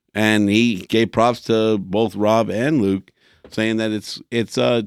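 The recording is very clean, with a silent background and a dry, close sound with no echo. A man with a medium pitch uses a normal speaking voice with fairly even intonation. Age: 40s. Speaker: sports podcast co-host. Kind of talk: casual chat.

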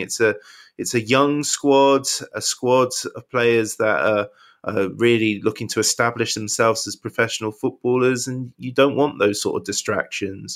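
Someone speaks in a West Country accent at a moderate pace with ordinary pitch variation, recorded very cleanly against a silent background. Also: man. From Wiltshire, England. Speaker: football fan pundit. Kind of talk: casual chat. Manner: halting.

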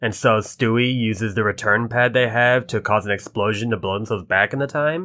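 A man's normal speaking voice, medium-pitched, fairly quick and with hardly any pauses, its pitch varying in an ordinary way. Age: 30s. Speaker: podcast co-host. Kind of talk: casual chat.

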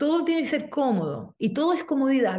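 Against a quiet background, a woman with a dark, mellow tone and lively intonation speaks at a fairly quick pace. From Chile. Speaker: movement teacher and artist. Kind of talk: interview conversation.

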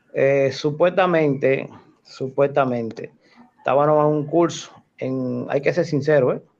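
Fairly slow and fairly even in intonation, a man talks in a fairly high voice and an ordinary speaking voice. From Dominican Republic, Santo Domingo Norte (raised from age 7). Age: 40s. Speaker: rescue worker. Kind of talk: casual chat.

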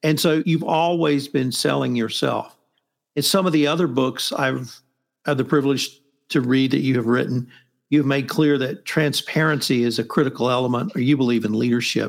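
An ordinary speaking voice keeps a moderate pace, ordinary pitch variation and very even loudness in a very clean recording with a silent background. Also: man, medium pitch for a man. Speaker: podcast host. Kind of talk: interview, book discussion.

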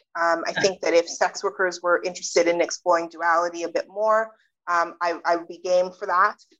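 An unremarkable speaking voice with a Canadian accent moves at a fairly quick pace with fairly even intonation. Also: woman, fairly low pitch for a woman. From Canada. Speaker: sociologist and author. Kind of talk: interview.

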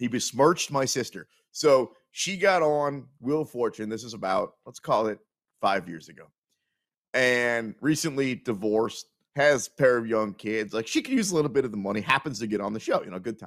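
In a normal speaking voice with an American accent, a man of medium pitch talks at a moderate pace, his intonation lively and his loudness swinging widely. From Kansas City, US Midwest. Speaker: sports betting radio host. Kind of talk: casual sports talk show.

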